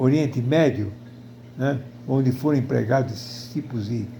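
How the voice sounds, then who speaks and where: Audible room echo surrounds a man whose medium pitch shows ordinary variation. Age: 80s+. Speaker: video blogger. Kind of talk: personal opinion monologue. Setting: at home in front of television. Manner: halting.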